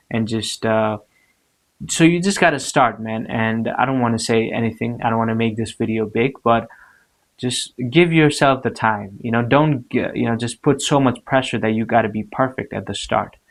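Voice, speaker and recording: In a very clean recording with a silent background, a man with a non-native accent talks at a moderate pace, his pitch medium and his pitch variation ordinary. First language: not English. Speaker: motivational vlogger. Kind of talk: motivational talk to camera. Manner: hesitant, many fillers and repeats.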